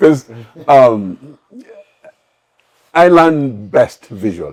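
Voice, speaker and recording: With a strong Kenyan accent, a man talks at a very slow pace in a fairly high voice full of very wide pitch swings. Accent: heavy Kenyan. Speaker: immigrant parent. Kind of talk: casual chat. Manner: halting.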